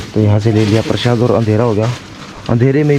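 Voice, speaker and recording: The speaker is a man with a medium-pitched voice. Background noise is noticeable. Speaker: travel vlogger. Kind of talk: vlog narration. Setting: outdoors at night.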